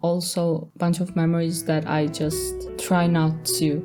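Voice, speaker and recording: Against music in the background, a woman speaks at a fairly slow pace in a fairly low voice with monotone, flat intonation. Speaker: storytime animator. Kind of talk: casual storytelling narration.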